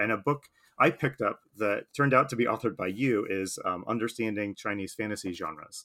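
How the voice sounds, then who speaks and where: This man's voice sits fairly low in pitch, with a bright, sharp tone and ordinary pitch variation. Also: very clean recording, silent background. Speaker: podcast host. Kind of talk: casual interview chat.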